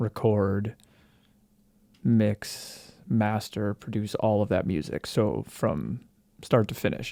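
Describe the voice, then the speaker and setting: Very slowly, with long and frequent pauses, a man speaks in a fairly low, dark and mellow voice with vocal fry, recorded dry and close with no echo on a very clean, silent background. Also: ordinary pitch variation. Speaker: musician and music producer. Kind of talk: casual commentary. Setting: self-recorded audio. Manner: hesitant, many fillers.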